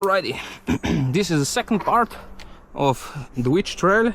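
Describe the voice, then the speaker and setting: This man has a high pitch and lively intonation, and he speaks at a fairly slow pace. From Slovenia. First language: Slovenian. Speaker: mountain bike vlogger. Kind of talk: casual vlog narration. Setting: outdoors on bike trail. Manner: halting; animated.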